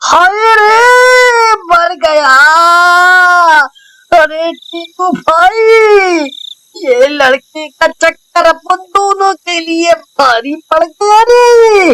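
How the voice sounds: A cartoonish character voice, extremely high-pitched, at a very slow pace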